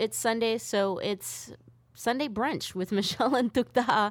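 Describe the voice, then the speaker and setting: A woman's normal speaking voice, fairly high in pitch and fairly even in intonation, on a very clean recording with a silent background. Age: 30s. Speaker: radio host. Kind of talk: casual chat. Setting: studio.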